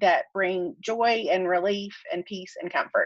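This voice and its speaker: With a Southern US accent, the speaker goes at a very slow pace against a quiet background. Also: woman. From US South. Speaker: author and podcaster. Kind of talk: casual interview chat.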